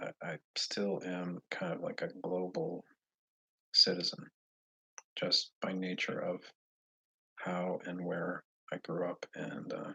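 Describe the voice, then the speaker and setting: Speaking with an American accent, the voice moves at a very slow pace with long, frequent pauses. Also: man. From Boston, Massachusetts. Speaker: livestreamer answering viewer questions. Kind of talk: casual livestream chat. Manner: halting, many fillers and restarts.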